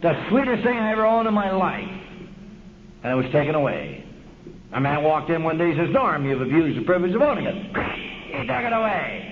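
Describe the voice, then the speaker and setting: A man with an American accent speaks at a fairly quick pace in a high pitch with very wide swings, over noticeable background noise. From Los Angeles, US West Coast. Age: 50s. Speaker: AA speaker. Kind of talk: recovery talk. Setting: stage with audience. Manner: animated. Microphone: old recording.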